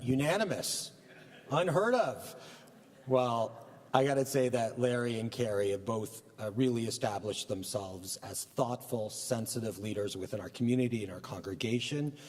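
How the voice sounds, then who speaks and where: Medium-pitched male speech, ordinary in its pitch variation, with noticeable background noise behind it. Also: moderate pace. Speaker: rabbi. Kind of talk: religious service remarks. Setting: synagogue service, live broadcast.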